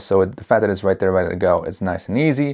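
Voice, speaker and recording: With lively intonation, a man speeds through his words at a very fast pace. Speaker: tech reviewer. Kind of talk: product review tutorial. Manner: casual, mixes up words.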